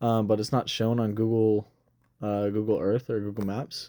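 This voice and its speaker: A man speaks at medium pitch with a dark, mellow tone. The recording is very clean, with a silent background. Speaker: geography video creator. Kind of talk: casual narrated screen tutorial. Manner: halting, many fillers; stutters.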